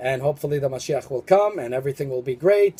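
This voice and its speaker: A man's fairly high, somewhat breathy voice has a dark, mellow tone and ordinary pitch variation. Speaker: religious video commentator. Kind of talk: spiritual monologue video. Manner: fast; halting, many fillers.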